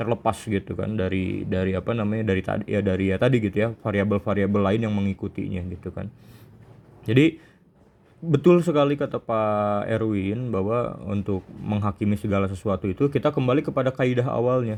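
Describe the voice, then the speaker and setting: A man speaks in a Sundanese accent. His pitch is fairly low and his pace fairly quick. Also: ordinary pitch variation. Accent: Sundanese-accented Indonesian. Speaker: Islamic teacher. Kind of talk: religious study session.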